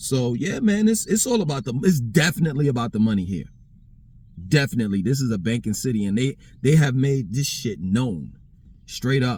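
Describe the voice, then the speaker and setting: Somewhat breathy speech moves at a fairly quick pace with very wide pitch swings. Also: man, medium pitch for a man. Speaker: vlogger. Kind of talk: casual monologue. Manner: halting, filler-heavy.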